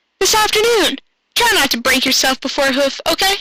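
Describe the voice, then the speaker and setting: Using an extremely high, squeaky put-on character voice, a woman talks at a fairly quick pace. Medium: read story. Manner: energetic, excitable.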